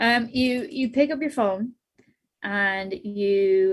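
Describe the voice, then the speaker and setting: A woman with an Irish accent. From Ireland. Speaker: podcast industry expert. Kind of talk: panel discussion / webinar Q&A. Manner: casual, animated.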